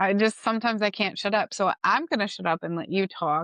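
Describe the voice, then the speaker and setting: Animated in tone, a woman speaks at a fairly quick pace with a medium pitch, in a dry, close sound with no echo over a quiet background. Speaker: podcast co-host. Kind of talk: casual chat. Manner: loud when passionate.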